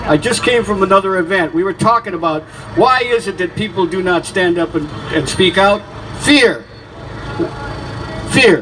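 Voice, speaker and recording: A man's animated voice with very wide pitch swings at a moderate pace, amid noticeable background noise. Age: 70s. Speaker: activist speaker at a rally. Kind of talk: protest rally speech. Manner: halting.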